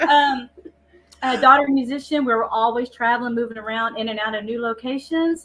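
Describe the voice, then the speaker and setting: A woman with an American accent talks at a moderate pace in a fairly high voice. Her tone is bright and sharp, with ordinary pitch variation. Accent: East Texas, comes out at times. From East Texas. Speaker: paranormal investigator. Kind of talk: casual chat. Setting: live podcast in old jail.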